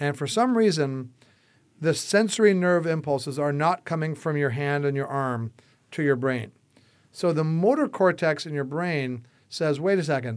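With an American accent and an unremarkable speaking voice, a man of fairly high pitch talks at a moderate pace with ordinary pitch variation, in a very clean recording against a silent background. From US Midwest, Chicago. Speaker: entrepreneur, son of a UFO researcher. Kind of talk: casual interview.

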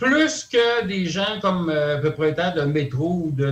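A man with a Quebec accent and ordinary pitch variation, amid noticeable background noise. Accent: Québécois French. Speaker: conspiracy theory commentator. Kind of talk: radio talk show discussion. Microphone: crackly phone line.

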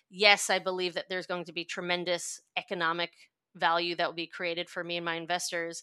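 Over a very clean recording with a silent background, a woman with a New York accent talks at a fairly quick pace in a bright, sharp tone with monotone, flat intonation. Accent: New York American. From US, New York. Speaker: venture investor. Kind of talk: interview.

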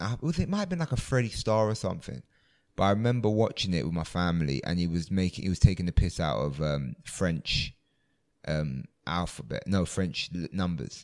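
A man with a London accent and a very deep, low pitch talks at a fairly quick pace. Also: lively intonation, very clean recording, silent background. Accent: London English, multicultural London. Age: 20s. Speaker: comedian. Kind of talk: casual chat. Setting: music venue before a show.

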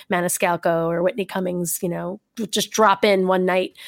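A woman with a normal speaking voice and a medium pitch talks at a moderate pace on a very clean recording with a silent background and a dry, close sound with no echo. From New York. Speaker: comedian. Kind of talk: casual chat.

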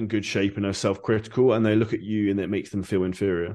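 A man with a southern English accent, fairly low in pitch, at a fairly quick pace against a quiet background. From Surrey, southern England. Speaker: online fitness coach and entrepreneur. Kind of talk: interview.

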